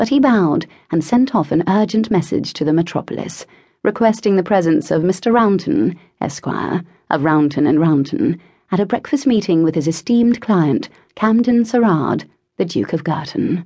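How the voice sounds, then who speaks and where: Over a quiet background, a woman speaks at a moderate pace in a medium-pitched, somewhat breathy voice with a dark, mellow, dramatic tone, very wide pitch swings and very even loudness. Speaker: audiobook narrator. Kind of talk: audiobook narration of a historical romance, with character voices. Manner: dramatic, expressive, shifting between characters.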